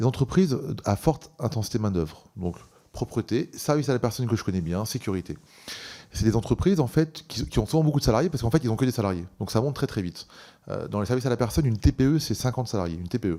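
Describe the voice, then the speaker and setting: A man with a dark, mellow tone at medium pitch, lively in intonation, at a very fast pace. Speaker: employers' organisation president. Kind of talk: parliamentary hearing testimony. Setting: parliamentary committee hearing. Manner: hesitant, many fillers.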